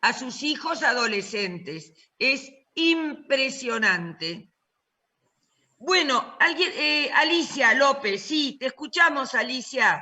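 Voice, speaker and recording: A woman speaks at a very slow pace in a high pitch. Her pitch swings very widely. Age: 60s. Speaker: professor. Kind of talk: online class discussion.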